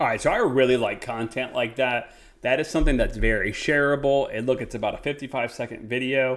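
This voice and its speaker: A man with an ordinary speaking voice talks at a fairly quick pace, his medium pitch held in fairly even intonation. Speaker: real estate agent and coach. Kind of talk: tutorial.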